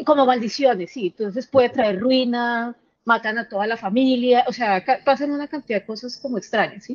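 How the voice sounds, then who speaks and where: This woman's high-pitched voice shows ordinary pitch variation and keeps a moderate pace. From Colombia. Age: 30s. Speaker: caller sharing paranormal experience. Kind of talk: testimony. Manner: halting.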